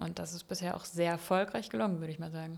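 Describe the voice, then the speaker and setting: A woman talks with fairly even intonation. The recording is very clean, with a silent background. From Palatinate, Germany. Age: 30s. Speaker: engineer and works council member. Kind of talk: interview. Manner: hesitant, many fillers.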